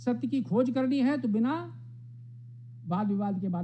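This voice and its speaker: Room echo is clearly heard. The male speaker has a dark, mellow tone. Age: 70s. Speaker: professor. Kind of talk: speech.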